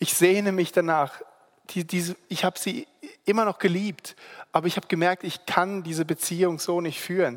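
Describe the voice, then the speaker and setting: The delivery keeps a moderate pace, captured on a very clean recording against a silent background. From grew up at a boarding school in Singapore. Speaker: lay preacher. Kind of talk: sermon. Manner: halting.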